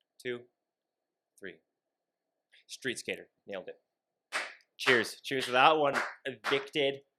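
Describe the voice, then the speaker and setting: At a fairly slow pace, the bright, sharp tone carries ordinary pitch variation, broken by long, frequent pauses. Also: man, fairly high pitch for a man, big swings in loudness. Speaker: podcast co-host. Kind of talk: casual chat. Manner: animated.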